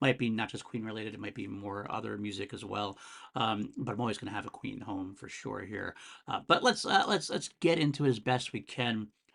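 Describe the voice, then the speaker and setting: A man with vocal fry at a medium pitch, ordinary pitch variation, big swings in loudness, a fairly quick pace and a quiet background. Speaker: music podcast host. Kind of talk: solo music review podcast. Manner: fast; casual, filler-heavy.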